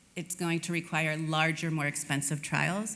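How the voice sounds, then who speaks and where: With an American accent, a woman speaks at a moderate pace. Her pitch is very deep and low, and audible room echo surrounds it. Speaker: HIV prevention advocate, conference speaker. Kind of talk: conference presentation. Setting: stage with audience at summit.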